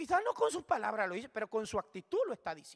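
Bright and sharp in tone, a man's voice moves through very wide pitch swings. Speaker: preacher. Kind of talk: sermon, Bible study preaching. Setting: church.

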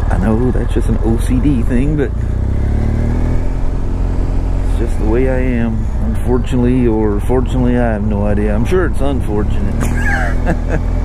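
Despite loud background noise, the dry, echo-free recording has a speaker at a moderate pace with long, frequent pauses. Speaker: motorcycle dealer vlogger. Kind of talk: casual vlog chat. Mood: relaxed, self-deprecating. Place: motorbike.

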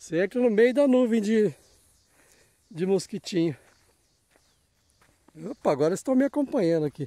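A man with a dark, mellow tone speaks at a moderate pace, his pitch swinging very widely, in a dry sound with no echo. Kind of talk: casual vlog chat. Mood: curious, amused. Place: open country. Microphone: phone near.

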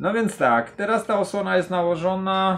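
A man speaks at a very slow pace. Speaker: gear reviewer. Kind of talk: casual product test talk. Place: home room. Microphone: camera far.

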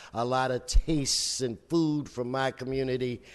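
Here a man talks at a fairly slow pace. His pitch sits in the medium range. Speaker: city council member; council member presenting. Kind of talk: formal public meeting, ceremonial remarks. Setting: council chamber with audience. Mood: warm, humorous. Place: hall. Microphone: podium.

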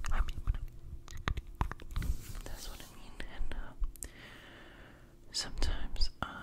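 A man whispers, fairly slowly, with long, frequent pauses. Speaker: ASMR creator. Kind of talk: ASMR trigger words. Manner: whispered. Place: home room. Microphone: studio mic.

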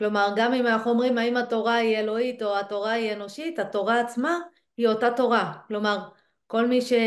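A woman speaks at a fairly high pitch. The background is quiet. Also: fairly even intonation, fairly quick pace. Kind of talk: casual study discussion. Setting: video recording. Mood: thoughtful, engaged. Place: home room. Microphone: video call.

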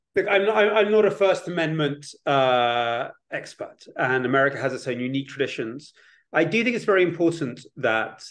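A man's fairly quick speech with very wide pitch swings against a quiet background. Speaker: academic researcher and author on propaganda; guest. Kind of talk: panel discussion. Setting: online webinar. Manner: halting, with frequent repetitions. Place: home room. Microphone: webcam.

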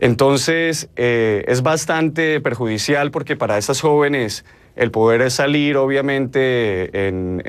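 A man with a Colombian accent. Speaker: marketing strategist; news guest. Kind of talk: news interview. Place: studio.

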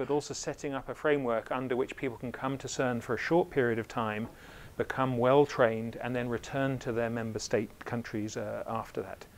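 This man talks at a fairly quick pace with hardly any pauses. His intonation stays fairly even. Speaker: invited lecturer. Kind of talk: lecture. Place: hall. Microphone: lapel.

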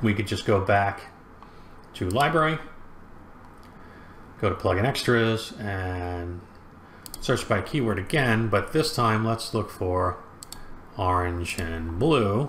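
A man's fairly low, fairly bright voice at a slow pace, lively in intonation, broken by long, frequent pauses

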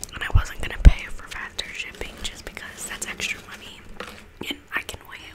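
A whispered voice keeps a moderate pace while noticeable background noise fills the clip. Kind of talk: ASMR whispered eating and chatting to camera. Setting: home recording with a condenser microphone. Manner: soft-spoken, casual, chatty.

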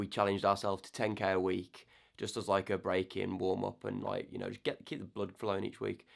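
A man's fairly low voice with vocal fry, fairly even intonation and a moderate pace, against a quiet background. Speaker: soldier vlogger. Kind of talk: casual vlog chat. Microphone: phone near.

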